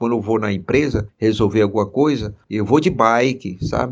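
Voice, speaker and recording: Here a man speaks at a moderate pace with a medium pitch and ordinary pitch variation. He has an unremarkable speaking voice. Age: 60s. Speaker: metro operations assistant, cyclist. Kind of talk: testimony.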